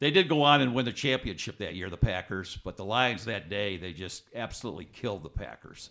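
A man talks at a fairly quick pace with hardly any pauses, in a fairly low voice with a bright, sharp tone. His intonation is lively, his loudness swings widely, and the recording is very clean with a silent background. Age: 70s. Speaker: author. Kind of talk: interview.

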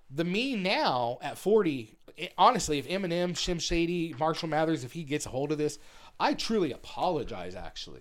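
The recording is very clean and the background silent. The delivery comes in an unremarkable speaking voice at a moderate pace, with ordinary pitch variation. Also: man. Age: 40s. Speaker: comedian and videographer. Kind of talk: casual chat.

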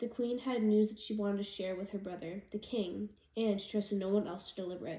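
Someone reads aloud in a plain way.

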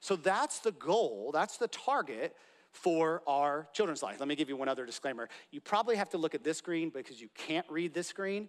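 In a plain, everyday voice, a man with fairly high pitch and lively intonation talks at a moderate pace, the sound dry and close with no echo. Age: 30s. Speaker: pastor. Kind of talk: sermon. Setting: church.

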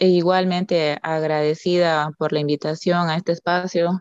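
A woman talks at a fairly slow pace with a fairly low pitch and a flat monotone. The sound is dry and close with no echo, over a quiet background. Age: 30s. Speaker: banker, master's student. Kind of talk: casual panel discussion.

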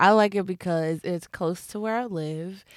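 This recording is very clean, its background completely silent. A woman's voice is heard. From Philadelphia. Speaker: podcast co-host. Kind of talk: casual chat. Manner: laughs often.

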